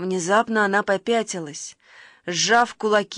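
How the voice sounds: A natural reading voice keeps to fairly even intonation.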